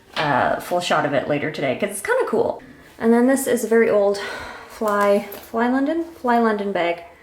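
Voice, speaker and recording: Over noticeable background noise and audible room echo, a woman speaks at a moderate pace with very wide pitch swings. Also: fairly high pitch for a woman. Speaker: fashion vlogger. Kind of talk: casual vlog.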